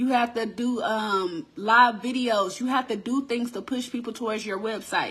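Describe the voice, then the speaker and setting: A woman speaks at a fairly high pitch in an animated tone. Her moderate pace runs with hardly any pauses. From Texas. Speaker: crafting business owner and online host. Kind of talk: casual live-stream chat.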